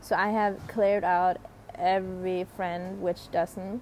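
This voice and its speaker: The delivery is very slow, with fairly even intonation. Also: woman. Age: 20s. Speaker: spiritual life coach and podcaster. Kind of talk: casual solo monologue.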